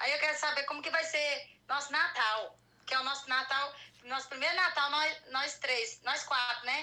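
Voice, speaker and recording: A woman projects a raised voice at a high pitch over noticeable background noise. She keeps a moderate pace and fairly even intonation. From Goiânia, Brazil. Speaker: caller. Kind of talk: personal consultation. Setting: live stream video call.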